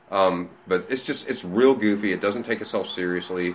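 A man with an American accent talks at a moderate pace and fairly low pitch, with ordinary pitch variation and noticeable background noise. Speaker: comic shop manager. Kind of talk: casual interview. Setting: in a shop. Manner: animated.

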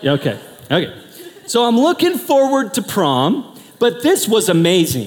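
A man speaks with an American accent and an animated tone. His pitch swings very widely. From US Pacific Northwest, Portland. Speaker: pastor. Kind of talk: sermon.

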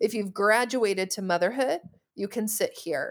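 A woman speaks in an ordinary speaking voice at medium pitch, with ordinary pitch variation. The recording is very clean, with a silent background. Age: 30s. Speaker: therapist and infertility counselor. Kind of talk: casual chat.

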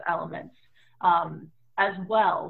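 With an American accent, a woman talks at a medium pitch with fairly even intonation. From US, San Francisco Bay Area. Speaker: tarot reader and spiritual practitioner. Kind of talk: interview. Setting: video call from home office.

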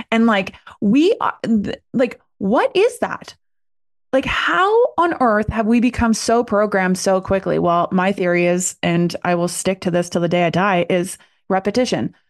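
A woman in a normal speaking voice, medium in pitch, at a moderate pace. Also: ordinary pitch variation. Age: 40s. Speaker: coach. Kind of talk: casual chat.

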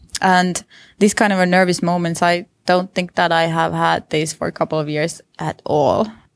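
A woman with a Finnish accent, fairly low in pitch, at a moderate pace with fairly even intonation, on a very clean recording with a silent background and a dry, close sound with no echo. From Finland. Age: 30s. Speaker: visual artist. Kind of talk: interview. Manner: hesitant, with repetitions.

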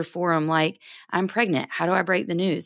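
Recorded very cleanly against a silent background, a plain, everyday voice with an American accent moves at a fairly quick pace. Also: woman. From North Carolina. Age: 30s. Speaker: financial advisor and firm co-owner. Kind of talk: interview.

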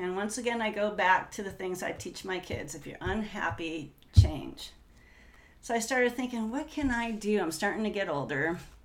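Audible room echo surrounds a woman speaking at a medium pitch and moderate pace. Her intonation is lively, with big swings in loudness. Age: 50s. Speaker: entrepreneur and real estate agent. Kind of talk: casual interview. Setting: in the host's home.

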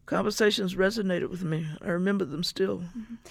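Vocal fry marks the voice of a woman with an American accent. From US South, Mississippi. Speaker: civil rights activist and sociologist. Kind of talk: interview, personal recollection. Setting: radio studio.

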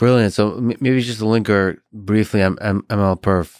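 The recording is very clean, with a silent background and a dry, close sound free of echo. A man speaks with fairly even intonation. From Russia. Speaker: podcast host. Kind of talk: casual chat.

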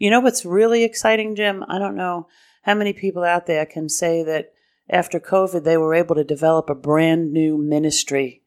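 This woman has an ordinary speaking voice with an American accent, fairly low pitch and ordinary pitch variation. She talks at a moderate pace on a very clean recording with a silent background. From New York City (Brooklyn/Queens). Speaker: diocesan development director. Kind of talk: interview. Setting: in-person lunch meeting.

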